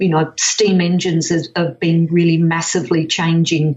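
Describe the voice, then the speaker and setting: Somewhat breathy, a woman speaks with an Australian accent at a fairly low pitch. Her pace is fairly slow. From Western Australia, Perth. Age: 60s. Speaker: whole food educator. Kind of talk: podcast interview.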